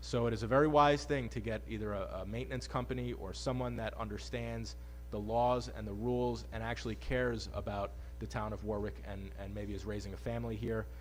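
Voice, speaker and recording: A man's very deep, low voice with vocal fry, flat and monotone at a fairly quick pace, with audible room echo. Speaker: town official chairing board meeting. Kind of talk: public meeting report. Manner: fast.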